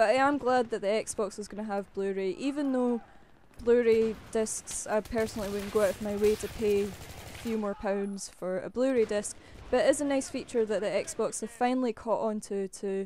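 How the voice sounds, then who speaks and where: A woman speaks at a moderate pace with a Scottish accent. Her pitch is fairly high and varies in an ordinary way. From Scotland. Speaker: gaming YouTuber. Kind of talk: casual vlog commentary. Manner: chatty, informal.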